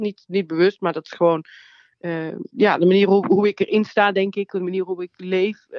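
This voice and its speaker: Her voice is a normal speaking voice, medium in pitch. This woman keeps a moderate pace and fairly even intonation. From Netherlands, North Brabant (Nuland). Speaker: comedian and theatre maker. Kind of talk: interview. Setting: phone call.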